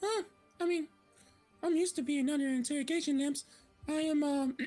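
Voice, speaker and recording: Faint music plays behind a high-pitched, put-on character voice moving at a fairly quick pace. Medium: actual play. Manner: chatty, gossipy.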